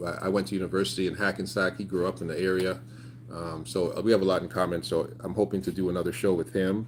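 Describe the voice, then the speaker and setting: Speaking at a very fast pace, the man has a very deep, low pitch and vocal fry. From Canada, Toronto. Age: 30s. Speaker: YouTuber. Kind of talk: casual livestream chat. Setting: outdoors. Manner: animated.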